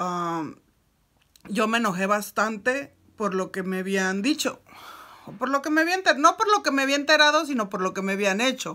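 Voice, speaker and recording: At a moderate pace, a woman with a fairly high pitch speaks in an animated, bright, sharp tone with very wide pitch swings over a quiet background. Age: 30s. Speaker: YouTuber; storyteller. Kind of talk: storytelling vlog. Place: home room. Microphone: phone near.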